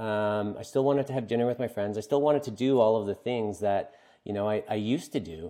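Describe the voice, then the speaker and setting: This man speaks fairly quickly in a Maritime Canadian accent. His tone is dark and mellow, and his intonation is lively. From Atlantic Canada. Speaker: brewery founder. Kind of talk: interview.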